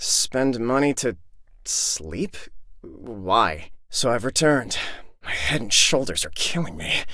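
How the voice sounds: Putting on a character voice, a man speaks slowly in a bright, sharp tone with big pitch swings. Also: medium pitch for a man.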